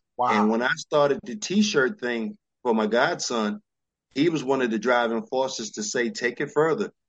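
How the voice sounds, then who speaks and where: With a New York accent, a man talks at a medium pitch, his voice making very wide pitch swings. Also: moderate pace. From New York, Brooklyn. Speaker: fashion entrepreneur. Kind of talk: interview.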